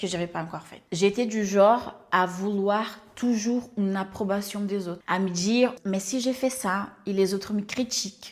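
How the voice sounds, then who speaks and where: With a Portuguese accent, the speaker keeps a moderate pace with hardly any pauses. Intonation is fairly even while loudness swings widely. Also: woman. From Brazil. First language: Portuguese (speaking French). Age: 30s. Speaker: life coach and YouTuber. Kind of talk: personal introduction vlog.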